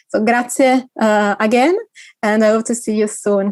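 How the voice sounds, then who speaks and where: A woman speaks with an Italian accent. The sound is dry and close, with no echo. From Italy. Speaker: conference organiser. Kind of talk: closing remarks at online conference.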